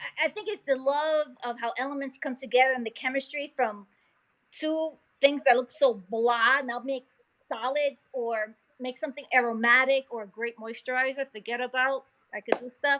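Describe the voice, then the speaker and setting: A woman talks at a moderate pace in a high, bright, sharp voice. Her loudness swings widely. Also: ordinary pitch variation. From New York, Puerto Rican family (Nuyorican). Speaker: molecular geneticist and science teacher. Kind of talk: casual interview. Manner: animated.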